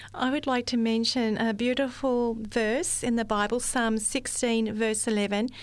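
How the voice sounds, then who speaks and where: A woman with an Australian accent speaks at a moderate pace, her pitch fairly high and her intonation flat and monotone. Her loudness stays very even, and she hardly pauses at all. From Australia, rural central New South Wales. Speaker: receptionist. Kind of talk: testimony. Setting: studio.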